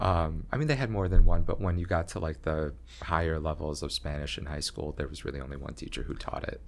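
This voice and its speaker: A man with an American accent and a very deep, low pitch speaks at a very fast pace. Audible room echo and noticeable background noise come through. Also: ordinary pitch variation. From New York, Rockland County. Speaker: comedian and visual artist. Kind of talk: podcast interview.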